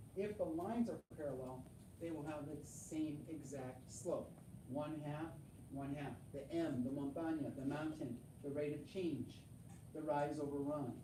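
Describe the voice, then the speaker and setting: With audible room echo, a woman speaks at a fairly slow pace in a very deep, low pitch. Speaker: middle school math teacher. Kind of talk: classroom lecture. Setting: classroom.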